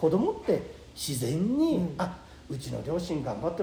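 Audible room echo surrounds a man whose fairly high-pitched voice has lively intonation. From Nagano, Japan (Takato, then Kiso). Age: 60s. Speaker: company president, pickle maker. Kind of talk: casual interview.

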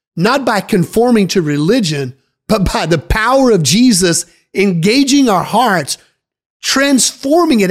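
A man with a high pitch and an animated tone talks at a fairly slow pace, his pitch swinging very widely. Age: 40s. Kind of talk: sermon-style podcast teaching.

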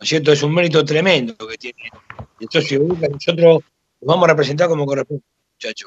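Very fast speech from a man, fairly high in pitch, with fairly even intonation. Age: 60s. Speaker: football club official. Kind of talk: casual chat.

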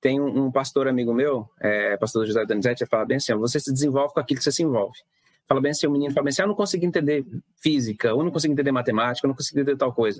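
A man with a fairly high pitch talks very fast, and his pitch varies in an ordinary way. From Mato Grosso interior, Brazil. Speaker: physics teacher. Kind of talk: casual interview. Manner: halting, many fillers; patient explaining.

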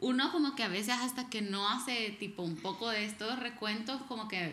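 The recording has audible room echo. A woman talks at a moderate pace with a fairly high pitch and ordinary pitch variation. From El Salvador. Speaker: podcast co-host. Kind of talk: casual chat. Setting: living room at home.

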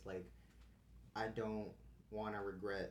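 A man's fairly low voice with vocal fry and audible room echo. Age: 20s. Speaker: podcast host, college student. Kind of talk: casual chat.

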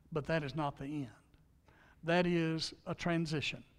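Speaking with a Southern US accent, a man with a fairly high pitch keeps a fairly slow pace. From Louisiana. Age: 60s. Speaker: pastor. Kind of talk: sermon. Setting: church.

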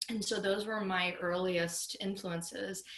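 A woman speaks with an American accent at a medium pitch. Audible room echo surrounds her voice. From US South, West Palm Beach, Florida. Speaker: country singer-songwriter. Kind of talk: casual interview.

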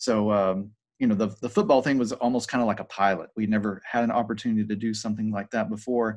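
Against a quiet background, a man talks at a very fast pace. He has an American accent and a fairly low pitch. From Georgia, US (Paulding County). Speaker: high school video production teacher. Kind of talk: casual interview.

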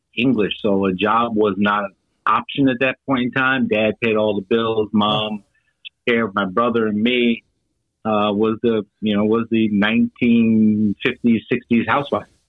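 A man with a plain, everyday voice speaks at medium pitch and a moderate pace with an American accent. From New York, the Bronx. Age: 60s. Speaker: franchise consultant, Marine veteran. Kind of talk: interview.

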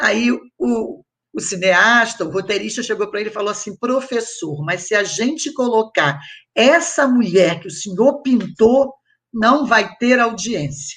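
In an unremarkable speaking voice, a woman talks at a fairly slow pace with fairly high pitch and lively intonation against a quiet background. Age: 60s. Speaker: historian and professor. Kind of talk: panel discussion.

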